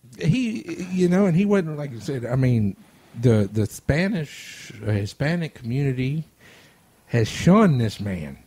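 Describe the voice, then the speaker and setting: Speaking with a Louisiana accent, a man with a fairly high pitch moves at a fairly slow pace through very wide pitch swings, his dark, mellow tone somewhat breathy. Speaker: radio host. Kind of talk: casual chat. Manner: stuttering.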